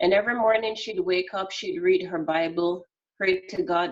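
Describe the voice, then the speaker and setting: In a Jamaican accent, a woman speaks at medium pitch and a moderate pace with ordinary pitch variation. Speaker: customer service expert. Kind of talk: interview. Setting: video call.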